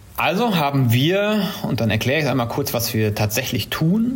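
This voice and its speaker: A man at a medium pitch swings his voice very widely, with audible room echo and noticeable background noise. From Germany, Siegen (South Westphalia). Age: 30s. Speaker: startup founder. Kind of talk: interview. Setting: video call.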